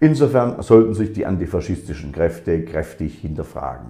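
The voice has a dark, mellow tone with vocal fry. The background is quiet. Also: man. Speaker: speaker. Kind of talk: formal political speech. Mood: solemn, critical. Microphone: webcam.

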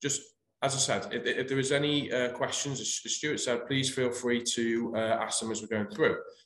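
Audible room echo surrounds a man speaking at a moderate pace in a monotone, flat intonation. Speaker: presenter. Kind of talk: webinar presentation. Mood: calm, professional. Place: home room. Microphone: webcam.

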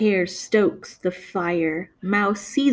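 The clip is simply plain reading aloud.

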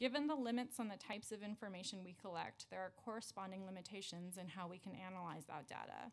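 With ordinary pitch variation, a woman speaks at a fairly quick pace. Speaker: city immigrant affairs commissioner. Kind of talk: testimony. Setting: council hearing room. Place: meeting room. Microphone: podium.

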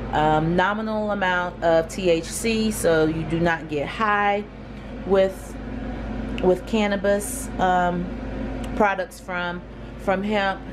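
Over noticeable background noise, a woman with a fairly low pitch talks at a very slow pace with fairly even intonation and long, frequent pauses. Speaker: hemp farmer and vlogger. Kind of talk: casual vlog. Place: home room.

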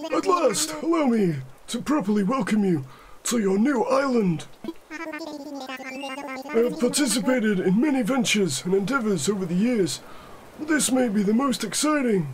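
Putting on a character voice at an extremely high pitch, a man speaks at a moderate pace with lively intonation over clear background noise. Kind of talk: comic overacting. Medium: solo performance. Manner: polite, fussy, repeats "yes, yes".

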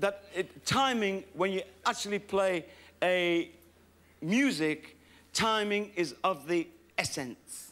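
A man's bright, sharp tone comes through in a raised, projected voice. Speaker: comedian performer. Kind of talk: stand-up comedy banter. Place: stage. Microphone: handheld.

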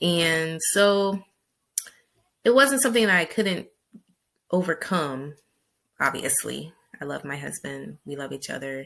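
A woman speaks at a fairly slow pace, with long, frequent pauses. The background is quiet. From US big city. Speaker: vlogger and travel guide author; vlogger, travel guide author. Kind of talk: casual monologue to camera. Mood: upbeat, smiling. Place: home room. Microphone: webcam.

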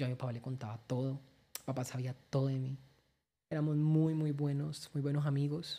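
The delivery is monotone, with flat intonation. The tone is dark and mellow. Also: woman. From Colombia, Valle del Cauca. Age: 20s. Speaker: social media content creator. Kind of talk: personal testimony interview. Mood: emotional, recounting father's death. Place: studio. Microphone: studio mic.

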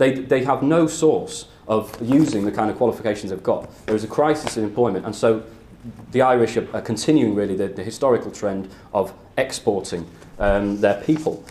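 With ordinary pitch variation, a man talks fairly quickly. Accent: British. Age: 20s. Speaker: political activist speaker; speaker. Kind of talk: lecture; political talk to a meeting. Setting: stage with audience. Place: classroom. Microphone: camera far.

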